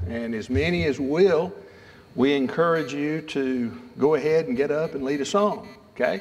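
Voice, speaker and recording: Lively intonation in the voice of a man. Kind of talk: announcements to congregation. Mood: friendly, lightly humorous. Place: church. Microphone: podium.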